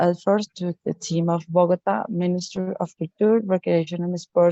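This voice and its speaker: Moderate pace, fairly even intonation and a fairly low pitch from a woman with a Spanish accent. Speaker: local cultural policy expert. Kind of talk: prepared presentation. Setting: video call. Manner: halting.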